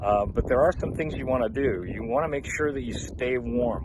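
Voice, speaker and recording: Over noticeable background noise, a man of medium pitch talks at a moderate pace with lively intonation. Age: 70s. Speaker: vlogger on a water fast. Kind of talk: casual vlog monologue. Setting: outdoors in the desert. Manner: halting, many fillers.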